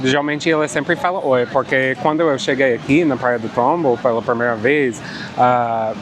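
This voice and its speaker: A man with a non-native accent, medium pitch, ordinary pitch variation and a fairly slow pace, against noticeable background noise. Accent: noticeable foreign accent in Portuguese. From Canada. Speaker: travel vlogger. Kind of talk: casual vlog narration. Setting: outdoors on a beach.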